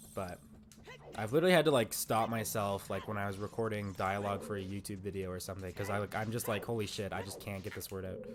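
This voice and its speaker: At a very fast pace, a man delivers his words at a fairly low pitch with fairly even intonation. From Canada. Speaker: gaming streamer. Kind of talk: live stream chat. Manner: casual, filler-heavy.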